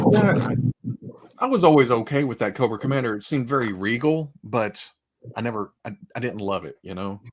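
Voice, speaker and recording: The voice has an American accent and a fairly quick pace. Its pitch varies in an ordinary way, while its loudness swings a lot. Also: man, medium pitch for a man. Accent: Southern US accent, toned down. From Arkansas, Fort Smith. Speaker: streamer, gaming and toy collecting show host. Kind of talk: casual chat. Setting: live stream with online chat.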